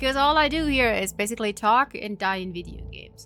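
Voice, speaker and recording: With music in the background, a woman speaks in a German accent. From Germany. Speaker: video game streamer. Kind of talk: casual live stream chat. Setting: live stream.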